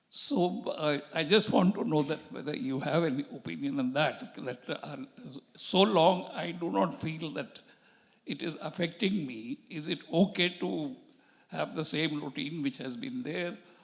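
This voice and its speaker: Fairly slowly and with vocal fry, a man speaks at a fairly high pitch, swinging very widely in pitch. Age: 80s+. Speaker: audience member. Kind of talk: audience question. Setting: stage with audience. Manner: halting.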